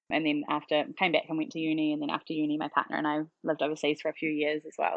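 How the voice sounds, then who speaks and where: Speaking at a fairly quick pace, a woman with a New Zealand accent has a very deep, low pitch. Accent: typical New Zealand. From New Zealand, central Auckland. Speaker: parenting educator, business founder. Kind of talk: podcast interview. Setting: podcast.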